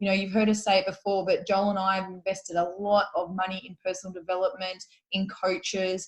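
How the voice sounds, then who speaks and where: Somewhat breathy, a woman with an Australian accent talks at a fairly quick pace and medium pitch. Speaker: podcast co-host. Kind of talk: casual podcast chat.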